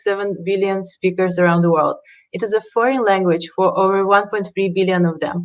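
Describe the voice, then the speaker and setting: A woman with a non-native accent. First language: not English. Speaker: startup founder. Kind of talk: pitch presentation. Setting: livestreamed pitch event. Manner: halting.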